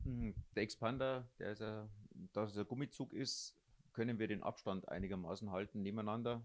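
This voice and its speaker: The man's somewhat low voice varies its pitch normally as he talks at a moderate tempo. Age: 50s. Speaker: blind runner. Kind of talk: interview. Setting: three people sharing one handheld mic.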